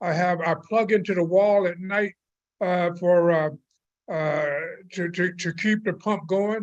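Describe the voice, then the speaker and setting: A man's high pitch, with fairly even intonation and a fairly slow pace. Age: 80s+. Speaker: community member giving public comment. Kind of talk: public hearing testimony. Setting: video call. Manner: halting, many fillers.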